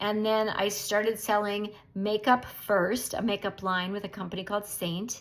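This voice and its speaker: The clip holds an ordinary speaking voice that keeps to a moderate pace. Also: woman. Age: 60s. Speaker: direct sales beauty consultant. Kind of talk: casual welcome talk to new team.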